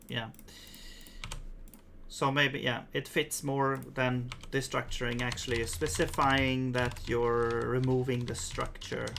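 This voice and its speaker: The speech comes at a very slow pace with long, frequent pauses. It is delivered in a Swedish accent. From Sweden. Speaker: programmer streamer. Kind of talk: live coding stream. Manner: halting.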